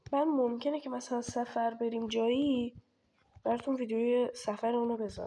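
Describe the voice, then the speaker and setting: Speaking at a moderate pace, a woman uses a high voice with a dark, mellow tone and monotone, flat intonation. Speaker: gaming streamer. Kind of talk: gameplay commentary. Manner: casual.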